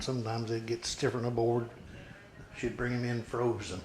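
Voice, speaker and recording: A man with an American accent, medium pitch and a fairly quick pace. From southwest Missouri (Webb City, Jasper County). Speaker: interviewee, local elder. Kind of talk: oral history interview.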